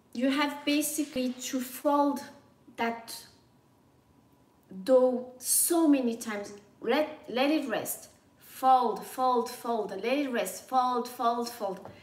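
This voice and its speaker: With a high pitch and fairly even intonation, a woman speaks at a very slow pace. Long, frequent pauses mark her speech, and audible room echo is present. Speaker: food vlogger. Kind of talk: casual livestream chat. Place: kitchen. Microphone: camera far.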